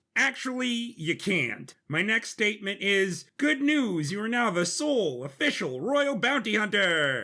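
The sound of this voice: With a very clean recording and a silent background, a man puts on a character voice at a high pitch, with a bright, sharp tone, big pitch swings, few pauses and a fairly slow pace.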